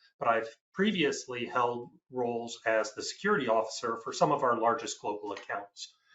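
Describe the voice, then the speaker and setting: A man's medium-pitched, unremarkable speaking voice at a moderate pace. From United States. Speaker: IT security executive. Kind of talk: panel discussion.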